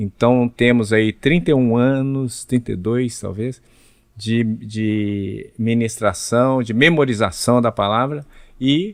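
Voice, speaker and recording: At a very slow pace, a man speaks in a medium pitch with ordinary pitch variation. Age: 60s. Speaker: pastor and Bible narrator. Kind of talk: podcast interview.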